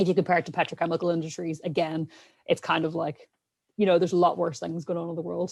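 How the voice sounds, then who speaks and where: With a strong Irish accent, a woman speaks at a very fast pace. Her voice is fairly low-pitched with fairly even intonation. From Ireland. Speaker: scientist podcast co-host. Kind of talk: casual panel discussion.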